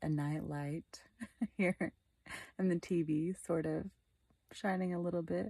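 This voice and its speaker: Soft-spoken and at a fairly slow pace, a woman talks in a dark, mellow tone with flat, monotone intonation, in a dry, close sound with no echo. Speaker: vlogger. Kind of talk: personal vlog monologue. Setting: in bed, dark bedroom. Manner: quiet, soft-spoken.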